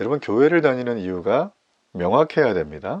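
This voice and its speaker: A man talks at a fairly quick pace against a quiet background. His pitch swings very widely. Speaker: pastor. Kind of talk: sermon. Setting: online morning worship service. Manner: fast.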